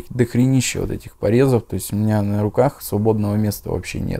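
A man's fairly low voice with a dark, mellow tone, fairly quick and fairly even in intonation. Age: 20s. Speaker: former drug addict in recovery. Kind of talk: interview testimony. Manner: casual, slangy. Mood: calm, subdued confessional. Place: home room. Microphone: lapel.

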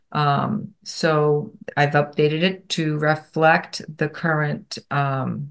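Against a quiet background, a woman talks in a very deep, low pitch. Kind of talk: meeting report. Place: home room. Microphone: video call.

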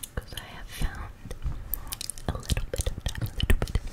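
A woman whispering at a moderate pace. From New Zealand. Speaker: ASMR creator. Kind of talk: ASMR whispers. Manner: whispered. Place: home room. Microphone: studio mic.

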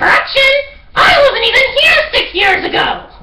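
Putting on a character voice, a man shouts at an extremely high pitch. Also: moderate pace. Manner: sarcastic, excitable.

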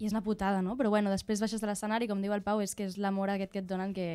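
This is a woman speaking. She talks with a Barcelona accent. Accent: Catalan, Barcelona. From Sant Andreu, Barcelona. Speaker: musician. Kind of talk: casual chat. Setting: studio. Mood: relaxed, reflective. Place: studio. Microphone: studio mic.

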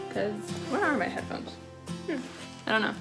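Clear music plays behind a woman as she speaks. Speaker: vlogger. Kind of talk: casual vlog chat. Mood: cheerful, chatty. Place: home room. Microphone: phone near.

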